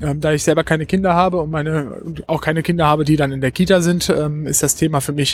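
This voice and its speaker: The man's pitch sits fairly high, with ordinary pitch variation. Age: 20s. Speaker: trainee special education teacher and youth fire brigade leader. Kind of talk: interview. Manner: hesitant, many filler sounds.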